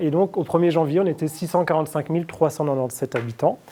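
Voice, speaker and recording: A man speaks in a high pitch with a dark, mellow tone. His pitch varies in an ordinary way. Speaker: statistician giving a conference talk. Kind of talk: lecture. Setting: conference with audience. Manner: fast; hesitant with fillers.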